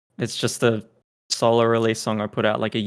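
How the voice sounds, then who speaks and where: A man's medium-pitched voice with an Australian accent and monotone, flat intonation, in a very clean recording with a silent background. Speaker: electronic music producer and DJ. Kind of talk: casual interview chat.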